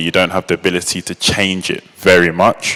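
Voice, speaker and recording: Monotone, flat intonation from a man with a very deep, low voice. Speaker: open-source product manager, conference speaker. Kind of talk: conference talk. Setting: stage with audience. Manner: hesitant, many fillers.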